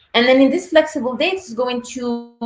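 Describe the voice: A woman speaks at a fairly quick pace in a high voice. Her pitch varies in an ordinary way, and there is audible room echo.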